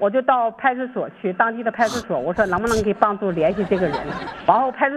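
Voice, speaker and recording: A woman's fairly high voice at a very fast pace, with lively intonation over noticeable background noise. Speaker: returning singer on a call-in show. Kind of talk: casual chat.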